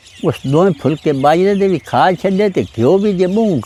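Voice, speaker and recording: A man speaks with noticeable background noise. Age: old. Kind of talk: storytelling of past experiences.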